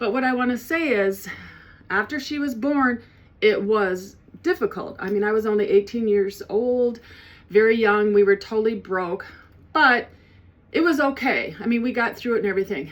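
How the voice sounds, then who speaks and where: A woman talks at a moderate pace with a fairly high pitch and lively intonation. She leaves long, frequent pauses. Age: 60s. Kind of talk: personal testimony. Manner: halting, with many fillers and restarts.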